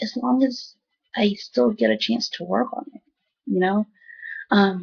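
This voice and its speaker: The speaker goes at a fairly slow pace with lively intonation, vocal fry and big swings in loudness. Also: woman. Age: young. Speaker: video blogger recovering from a stroke. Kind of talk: personal video diary. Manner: halting, repeats words.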